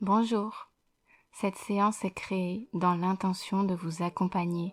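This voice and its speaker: Music plays in the background as a woman speaks at a very slow pace. Her intonation stays fairly even. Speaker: hypnotherapist. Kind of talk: guided hypnosis session. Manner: slow, soft-spoken.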